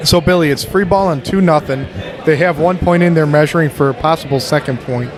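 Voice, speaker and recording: Over noticeable background noise, a man talks at a fairly quick pace. His pitch is fairly high for a man, and his intonation is fairly even. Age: 40s. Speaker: bocce tournament commentator. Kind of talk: live commentary.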